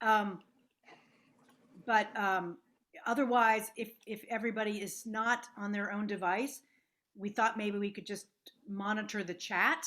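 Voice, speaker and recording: Loud and bright with a sharp tone, a woman speaks in a fairly high voice at a fairly slow pace, with fairly even intonation and long, frequent pauses. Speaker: parish leader chairing meeting. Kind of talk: casual chat and meeting facilitation. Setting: video call.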